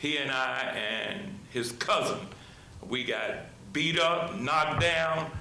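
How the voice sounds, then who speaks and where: Amid noticeable background noise and audible room echo, a man with an American accent talks very slowly at a fairly high pitch with lively intonation. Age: 70s. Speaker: church member speaking at public comment. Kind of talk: public comment at town meeting. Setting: town council meeting. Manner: halting, repeats words.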